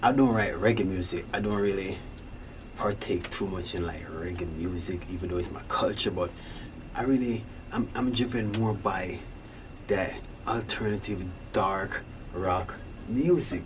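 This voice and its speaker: A man with a slight Jamaican accent and fairly low pitch, moderate pace, ordinary pitch variation, long, frequent pauses, audible room echo and noticeable background noise. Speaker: singer-songwriter, rock musician. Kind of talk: casual monologue. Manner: halting.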